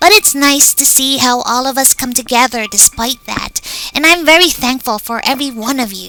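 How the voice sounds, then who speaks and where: A female-sounding voice performs a put-on character voice at a high pitch. The pace is moderate, with music in the background. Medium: audio drama.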